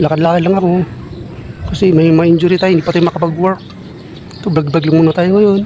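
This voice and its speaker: Very fast, flat, monotone speech broken by long, frequent pauses, over noticeable background noise. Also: man, high pitch for a man. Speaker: vlogger. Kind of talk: casual vlog monologue. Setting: outdoors at a basketball court. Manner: speech impediment, stumbling over words.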